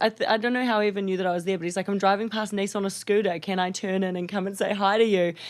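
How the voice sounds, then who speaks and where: With a New Zealand accent, a woman speaks at a medium pitch. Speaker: reality TV star and yacht chief stewardess. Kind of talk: podcast interview answer. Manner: energetic, humorous.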